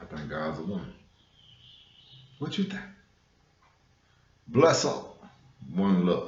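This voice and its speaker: A somewhat breathy man with an American accent, very slow pace and lively intonation, with audible room echo. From US West Coast, South Central Los Angeles. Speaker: spiritual vlogger. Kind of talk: casual monologue on spirituality. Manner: conversational, frequent fillers.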